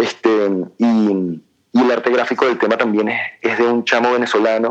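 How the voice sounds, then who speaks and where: With a monotone, flat intonation, a man speaks in a medium pitch at a moderate pace. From Venezuela, born in Argentina. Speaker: musician. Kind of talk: interview. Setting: phone call.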